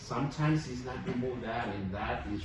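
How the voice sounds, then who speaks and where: Noticeable background noise and audible room echo surround the recording. The man speaking has a medium pitch. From Mexico. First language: Spanish. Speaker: dentist. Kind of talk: casual explanation to patient on camera.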